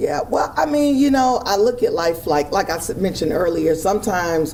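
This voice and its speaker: Over noticeable background noise, a woman speaks at a fairly quick pace with very wide pitch swings. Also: medium pitch for a woman, very even loudness. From Miami. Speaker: former radio host. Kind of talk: casual interview.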